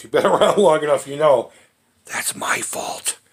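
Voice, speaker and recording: A man does a raspy, put-on character voice at a fairly quick pace. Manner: fast-talking.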